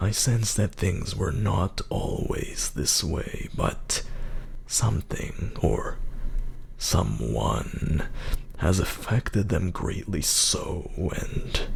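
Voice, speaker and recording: Over noticeable background noise, a man uses a put-on character voice at a very slow pace. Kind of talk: mystic fortune teller. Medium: read story. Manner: measured, solemn.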